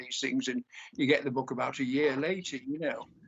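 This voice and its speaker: In a British accent, a man speaks with fairly even intonation. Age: 60s. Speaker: poet. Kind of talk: poetry reading with commentary.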